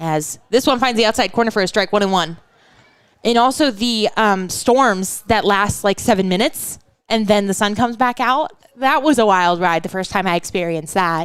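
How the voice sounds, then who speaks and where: This woman's medium-pitched voice moves at a moderate pace, its pitch varying in an ordinary way. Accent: Pacific Northwest. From Western Washington. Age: 20s. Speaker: baseball play-by-play announcer. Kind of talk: live commentary. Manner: casual, chatty.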